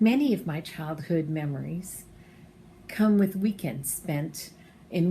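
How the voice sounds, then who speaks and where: At a fairly slow pace, a woman speaks in a fairly low, dark, mellow, somewhat breathy voice with ordinary pitch variation. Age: 60s. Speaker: campground supporter sharing memories. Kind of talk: personal testimony, prepared remarks.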